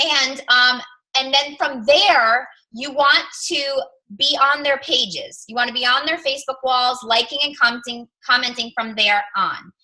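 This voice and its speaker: A woman uses a raised, projected voice at a high pitch. She speaks at a fairly slow pace with ordinary pitch variation. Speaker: fitness coach team leader. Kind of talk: team coaching call. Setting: group call. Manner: loud; animated.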